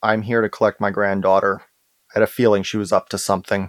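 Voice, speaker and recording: A man does a raspy put-on character voice, fairly low in pitch and flat in a monotone, delivered at a very fast pace. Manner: grandfatherly, suspicious.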